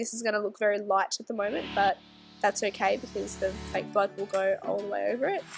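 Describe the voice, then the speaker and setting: A woman keeps a moderate pace while music sounds behind her. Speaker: SFX makeup artist. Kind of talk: makeup tutorial voiceover.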